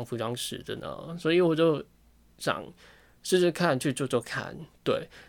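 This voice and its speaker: The recording is very clean with a silent background as a man talks at a moderate pace with ordinary pitch variation. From Hong Kong. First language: Cantonese (speaking Chinese). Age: 20s. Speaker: podcast host, fashion design student. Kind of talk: casual solo monologue. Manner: halting, many fillers and repetitions.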